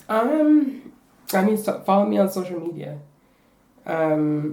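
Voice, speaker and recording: Here a woman talks at a fairly slow pace and medium pitch. Her pitch swings very widely. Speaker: refugee artist and spoken word poet. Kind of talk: interview. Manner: halting.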